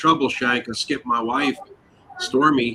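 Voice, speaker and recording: Here is a man with an unremarkable speaking voice. His pitch is medium and his pace moderate. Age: 60s. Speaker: online show host. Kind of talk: casual chat.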